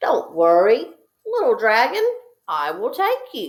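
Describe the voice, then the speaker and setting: A woman uses a squeaky, put-on character voice at a fairly slow pace. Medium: read story. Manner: stammering, nervous.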